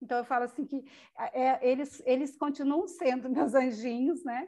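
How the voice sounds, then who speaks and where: Her pitch is high for a woman. The woman's pitch variation is ordinary. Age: 50s. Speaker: psychology student with ALS. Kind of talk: interview testimony.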